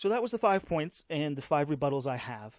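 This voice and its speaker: Talking at a very fast pace, a man uses a fairly high pitch with very wide pitch swings, recorded dry and close with no echo in a very clean recording over a silent background. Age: 30s. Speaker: podcast host. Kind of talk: casual monologue. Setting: home gaming setup. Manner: halting, many repeated words.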